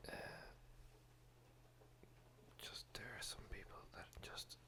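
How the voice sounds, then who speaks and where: Whispering in a relaxed tone at a very slow pace. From Ireland. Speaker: ASMR whisper video creator. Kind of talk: casual vlog talk to camera. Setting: home studio with rain in background. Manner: whispered, relaxed.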